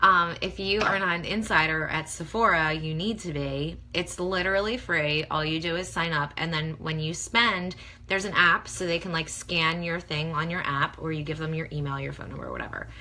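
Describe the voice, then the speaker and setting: A woman talks at a moderate pace with a fairly low pitch and fairly even intonation. Audible room echo surrounds her voice. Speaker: beauty blogger. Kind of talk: casual livestream tutorial. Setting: facebook live video at home. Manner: chatty, many fillers.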